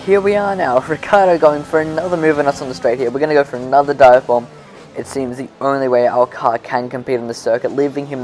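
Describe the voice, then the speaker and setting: Over music in the background, a man with an Australian accent talks at a very fast pace, his fairly high pitch showing ordinary variation. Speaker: gaming YouTuber. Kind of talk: gameplay commentary. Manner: casual, self-correcting.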